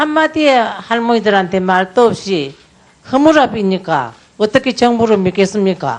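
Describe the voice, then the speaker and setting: A woman's fairly high voice, fairly slow, with very wide pitch swings. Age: 80s+. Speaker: former comfort woman survivor testifying as a witness. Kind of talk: testimony at a parliamentary audit hearing.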